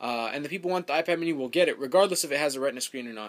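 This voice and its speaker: The recording is very clean with a silent background, and the voice shows ordinary pitch variation. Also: man. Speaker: tech YouTuber. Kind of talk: casual vlog rant. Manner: fast; animated.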